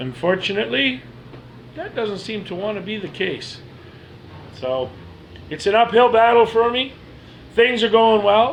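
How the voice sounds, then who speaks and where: Over noticeable background noise, a man speaks at a moderate pace with a high pitch and lively intonation. His loudness swings widely, and he leaves long, frequent pauses. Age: 40s. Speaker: person telling own medical story. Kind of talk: personal testimony. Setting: self-recorded video.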